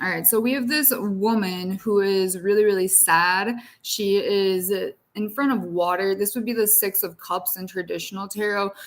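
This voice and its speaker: With a normal speaking voice, a woman of medium pitch talks at a moderate pace with fairly even intonation. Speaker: tarot reader. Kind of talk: tarot reading livestream. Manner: casual.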